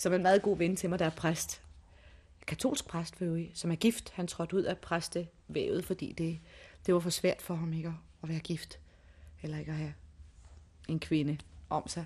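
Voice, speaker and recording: A woman with a fairly low pitch and a somewhat breathy voice talks at a moderate pace with fairly even intonation, long, frequent pauses and a quiet background. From Denmark. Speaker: restaurant owner's wife. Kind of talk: interview.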